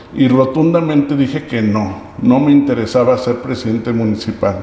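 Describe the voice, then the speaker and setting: A man speaks at a medium pitch. Noticeable background noise and audible room echo are present. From Mexico, Aguascalientes. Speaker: local political candidate. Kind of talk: mock job interview.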